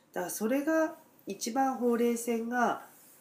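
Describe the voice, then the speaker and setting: A woman speaks at a fairly slow pace with a fairly high pitch. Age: 50s. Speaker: dentist. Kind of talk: casual chat.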